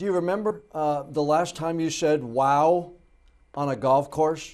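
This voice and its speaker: Speaking with ordinary pitch variation, a man uses a fairly high pitch. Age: 50s. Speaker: TV news anchor and podcast host. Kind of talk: interview.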